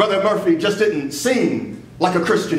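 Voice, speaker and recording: A man speaks at a high pitch. Audible room echo and light background noise surround him. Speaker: minister at a funeral. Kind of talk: eulogy sermon. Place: church. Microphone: podium.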